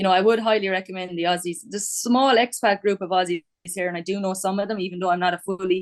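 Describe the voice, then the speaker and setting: Very fast speech with fairly even intonation, in an Irish accent. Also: woman, medium pitch for a woman. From Ireland. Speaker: quantity surveyor. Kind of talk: casual interview.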